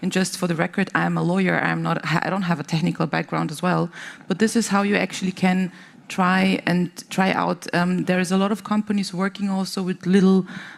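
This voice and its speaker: A woman with a non-native accent, medium pitch, monotone, flat intonation and a fairly quick pace. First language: not English. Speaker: tech company policy lead on panel. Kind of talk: panel discussion. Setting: conference stage with audience. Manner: halting, many fillers.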